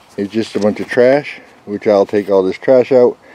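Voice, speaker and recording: A man with a plain, everyday voice, fairly low pitch, ordinary pitch variation, moderate pace, dry sound with no echo. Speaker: DIY vlogger. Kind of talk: casual vlog chat. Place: street. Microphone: phone near.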